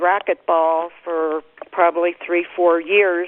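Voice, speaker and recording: In an American accent, a woman speaks at a fairly low pitch and a very slow pace. Her intonation is fairly even. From Pennsylvania, US. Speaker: pioneering ultramarathon runner. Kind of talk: conference call reminiscence. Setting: phone conference call.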